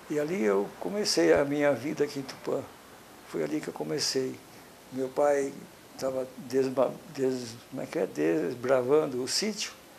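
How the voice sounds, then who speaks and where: Background noise is noticeable as a man talks. His fairly high voice swings very widely in pitch. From Brazil, interior of São Paulo state. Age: 70s. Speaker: local elder giving historical testimony. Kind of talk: oral history interview. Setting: at his home. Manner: halting, with self-corrections.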